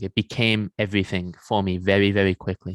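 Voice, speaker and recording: A man's fairly low voice with an English accent, dry and close with no echo. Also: very clean recording, silent background. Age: 20s. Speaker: men's coach and former pro athlete. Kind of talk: podcast interview.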